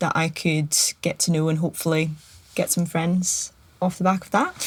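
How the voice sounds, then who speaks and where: A woman's fairly low voice in a Scottish accent, with fairly even intonation. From Scotland. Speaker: podcast guest. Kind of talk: casual chat.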